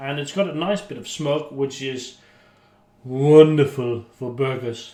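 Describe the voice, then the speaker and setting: Speaking at a fairly slow pace, a man delivers the lines. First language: not English. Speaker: YouTuber, beer chugging and cooking. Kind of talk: casual cooking vlog. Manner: chatty, hesitant with fillers.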